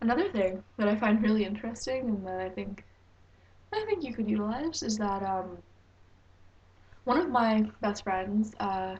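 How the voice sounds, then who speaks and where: A woman's somewhat breathy, fairly high voice with a Canadian accent, moderate pace and long, frequent pauses. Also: ordinary pitch variation. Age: 19. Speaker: vlogger. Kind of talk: advice vlog. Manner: hesitant with fillers.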